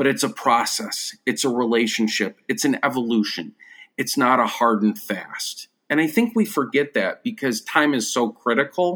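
A man with an American accent, a medium pitch, a bright, sharp tone and lively intonation at a moderate pace, on a very clean recording with a silent background. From western New York (Buffalo suburbs). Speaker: education researcher and former rural social studies teacher. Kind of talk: casual interview conversation.

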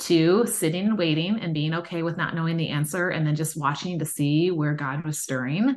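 Using an unremarkable speaking voice, a woman with a fairly low pitch talks with ordinary pitch variation and hardly any pauses. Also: fairly quick pace. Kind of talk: casual chat.

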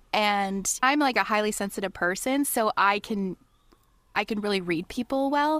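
In a normal speaking voice with a Canadian accent, the speaker talks at a moderate pace with ordinary pitch variation, on a very clean recording with a silent background and a dry, close sound with no echo. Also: woman, fairly high pitch for a woman. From Ontario, Canada. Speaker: podcast guest. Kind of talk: casual chat.

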